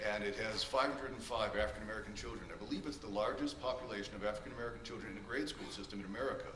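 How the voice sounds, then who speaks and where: A man speaks at a very fast pace, with audible room echo and noticeable background noise around him. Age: 60s. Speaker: character witness, music director. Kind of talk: court testimony. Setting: courtroom.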